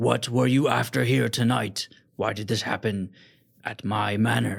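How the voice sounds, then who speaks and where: Bellowing loudly in a put-on character voice, a man speaks with a raspy, fairly low pitch at a moderate pace. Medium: actual play. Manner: loud, roaring.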